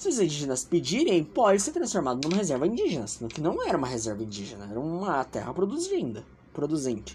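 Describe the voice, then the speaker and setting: Noticeable background noise accompanies a man who speaks very fast, his pitch moving in very wide swings. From Brazil, São Paulo. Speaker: podcast host. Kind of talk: casual political commentary. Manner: animated.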